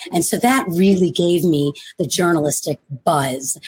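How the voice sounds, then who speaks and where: The speaker has an animated tone and talks at a fairly slow pace. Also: woman. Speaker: novelist. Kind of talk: casual chat. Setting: video call.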